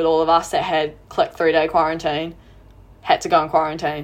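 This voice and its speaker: A woman with a New Zealand accent speaks in a fairly low voice. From New Zealand, Auckland. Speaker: sports photographer and pole vaulter. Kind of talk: casual chat.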